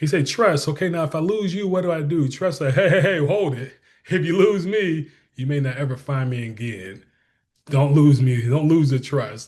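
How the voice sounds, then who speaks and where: Somewhat breathy and fairly high-pitched, a man speaks in an animated tone with lively intonation. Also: moderate pace, quiet background. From Detroit, Michigan. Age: 40s. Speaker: school superintendent. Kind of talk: interview.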